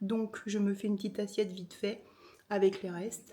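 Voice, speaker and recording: Her voice comes across as somewhat breathy. This woman keeps to a moderate speed. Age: 50s. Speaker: chronic illness vlogger. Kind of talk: casual vlog talk to camera.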